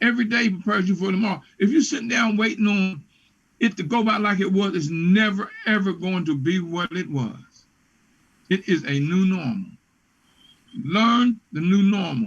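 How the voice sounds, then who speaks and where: A man speaks in an animated tone with ordinary pitch variation. His voice is high for a male speaker. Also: moderate pace. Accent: American. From West Virginia. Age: 70s. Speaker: business consultant. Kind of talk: interview.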